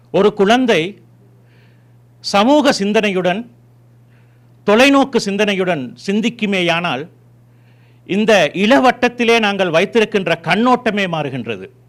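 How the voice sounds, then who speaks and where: Talking at a very slow pace with long, frequent pauses, a man with a Tamil accent uses a high pitch and lively intonation. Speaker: community leader. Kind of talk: ceremonial speech.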